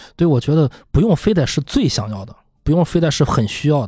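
Somewhat breathy, a man speaks at a fairly high pitch and a fairly quick pace with lively intonation. The recording is very clean, with a silent background. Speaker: film podcast panelist. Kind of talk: casual roundtable film discussion. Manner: halting, many fillers.

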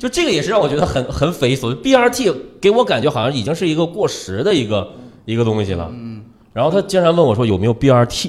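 Talking very fast with vocal fry, a man's fairly high voice moves through very wide pitch swings. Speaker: radio host and stand-up comedian. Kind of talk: casual chat.

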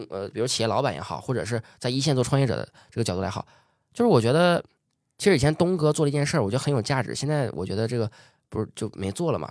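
In a very clean recording with a silent background, a man with a medium pitch and vocal fry talks at a very fast pace, animated and with very wide pitch swings. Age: 20s. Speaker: entrepreneur. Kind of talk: interview.

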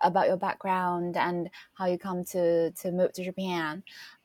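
A woman at a medium pitch and a fairly slow pace, on a very clean recording with a silent background and a dry, close sound with no echo. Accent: Chinese. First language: Mandarin Chinese. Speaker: podcast host. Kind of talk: casual chat. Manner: halting.

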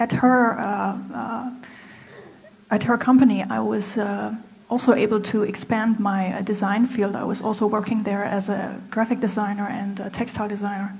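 At a moderate pace, a woman talks at a fairly high pitch with fairly even intonation, amid noticeable background noise. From Germany. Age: 30s. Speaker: apparel designer. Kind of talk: speech. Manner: halting.

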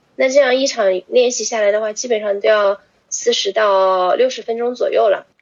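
A woman's fairly high voice with ordinary pitch variation, a normal speaking voice. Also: moderate pace. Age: 20s. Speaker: yoga teacher. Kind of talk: casual chat.

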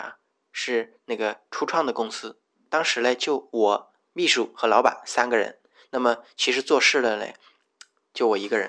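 With a bright, sharp tone and medium pitch, a man talks at a fairly slow pace and fairly even intonation against a quiet background. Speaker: podcast host. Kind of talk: personal monologue. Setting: rented room at home. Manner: hesitant, many filler sounds.

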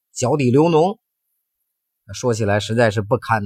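At a fairly slow pace and a medium pitch, a man sounds animated and somewhat breathy, with lively intonation on a very clean recording against a silent background. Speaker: health podcast host. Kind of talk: personal storytelling monologue.

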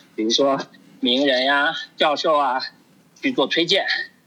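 Noticeable noise fills the background while the speech proceeds at a moderate speed. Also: man. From China. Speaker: overseas Chinese professional. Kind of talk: casual discussion.

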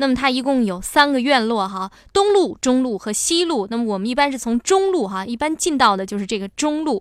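The speaker has a normal speaking voice with lively intonation. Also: woman. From Liaoning, northeast China. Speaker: radio travel show host. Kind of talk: radio travel program narration.

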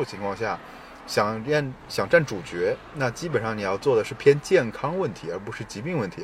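A somewhat breathy man's voice of medium pitch, fairly quick, with very wide pitch swings and big swings in loudness. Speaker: product manager. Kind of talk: casual chat. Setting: outdoors by a river.

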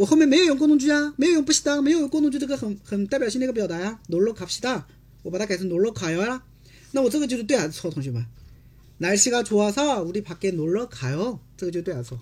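A man talks very fast at a high pitch. His voice swings very widely in pitch. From China. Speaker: Korean language teacher. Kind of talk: online language lesson. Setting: livestream from home. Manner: repetitive.

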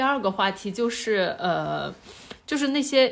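In an unremarkable speaking voice, a woman talks at a fairly slow pace with lively intonation. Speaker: podcast host. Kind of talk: casual chat.

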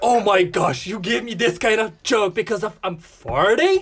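With noticeable background noise behind him, a man talks in a high pitch. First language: Korean. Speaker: podcast guest, cousin of host. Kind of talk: casual chat.

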